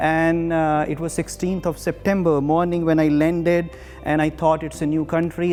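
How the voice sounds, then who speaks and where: A man with a fairly high pitch talks at a moderate pace in a flat monotone. Music plays in the background. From India. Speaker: English and communication skills teacher. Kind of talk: masterclass lecture. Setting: TV studio.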